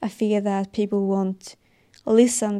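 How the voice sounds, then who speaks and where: In a Swedish accent, a woman speaks fairly slowly at a medium pitch, her tone dark and mellow and her intonation flat and monotone, on a very clean recording with a silent background. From Sweden. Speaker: podcast host, fitness and wellness advice creator. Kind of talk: solo podcast monologue, personal and motivational. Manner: halting, searching for words, sincere.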